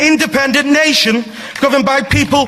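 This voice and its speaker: Noticeable background noise and audible room echo accompany a man's raised, projected voice at an extremely high pitch. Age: young. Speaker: parliamentary candidate. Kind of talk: political speech. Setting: stage with audience.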